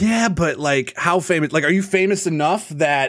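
In an American accent, the speaker uses an animated, upbeat tone and ordinary pitch variation on a very clean recording with a silent background. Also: man. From US Midwest. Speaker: podcast host and streamer. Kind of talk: casual podcast chat.

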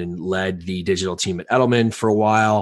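A man with a fairly low pitch has a normal speaking voice. He speaks at a moderate pace with ordinary pitch variation. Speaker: podcast co-host. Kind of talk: casual chat.

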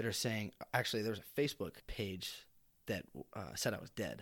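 Medium-pitched male voice on a very clean recording with a silent background. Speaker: podcast guest, brain injury survivor. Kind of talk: casual chat.

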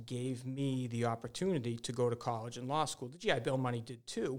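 Using an unremarkable speaking voice, a man with an American accent talks at medium pitch and a moderate pace, with fairly even intonation. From Massachusetts, central. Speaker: real estate lawyer. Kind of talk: interview.

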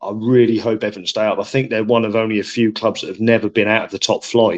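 Fairly quick speech from a man with an English accent. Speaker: sports podcast co-host. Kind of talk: casual chat.

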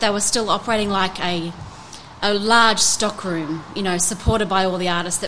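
A woman speaks with an Australian accent against noticeable background noise. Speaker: art gallery owner. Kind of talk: interview. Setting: in a gallery.

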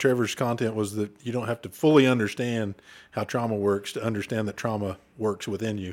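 A man with an Oklahoma accent speaks with fairly even intonation. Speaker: former state trooper, podcast co-host. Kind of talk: casual chat.

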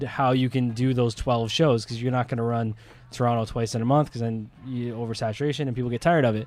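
A Canadian-accented man with an unremarkable speaking voice, medium pitch and fairly even intonation. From Ontario, Canada. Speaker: wrestling promoter. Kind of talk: casual chat.

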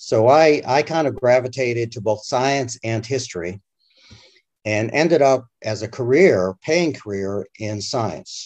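A man with an American accent has an ordinary speaking voice at a medium pitch. He talks at a fairly slow pace with lively intonation. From Massachusetts. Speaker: scientist and author. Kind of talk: interview.

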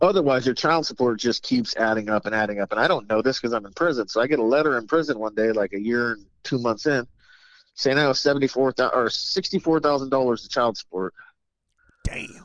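Speaking very fast, a man uses an American accent. His medium pitch has ordinary variation. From Sacramento, California. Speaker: stand-up comedian. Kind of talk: casual chat.

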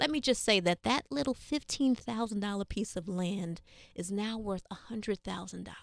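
A woman with a New York accent, medium in pitch, lively in intonation, at a fairly quick pace, in a dry, close sound with no echo. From New York City. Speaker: health educator. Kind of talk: interview.

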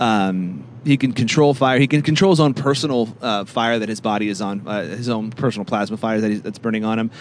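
Noticeable background noise sits behind a man with an American accent. He talks at a fairly quick pace and medium pitch with ordinary pitch variation. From California. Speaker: podcast co-host. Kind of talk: casual chat.

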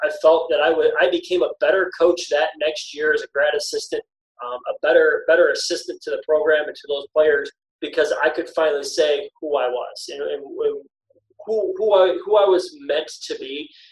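The speech moves at a moderate pace. Its loudness swings widely. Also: man. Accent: American. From Michigan, US. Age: 30s. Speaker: former basketball coach. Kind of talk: podcast interview.

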